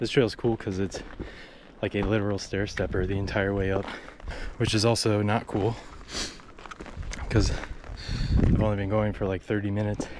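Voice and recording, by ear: Someone puts on a raspy character voice with monotone, flat intonation, speaking at a moderate pace over light background noise. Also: man, fairly low pitch for a man.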